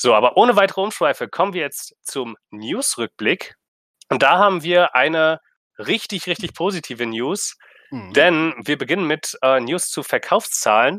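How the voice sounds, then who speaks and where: With a bright, sharp tone and a fairly high pitch, a man speaks at a moderate pace with very wide pitch swings, the sound dry and close with no echo. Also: very clean recording, silent background. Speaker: video game podcast host. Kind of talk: casual chat.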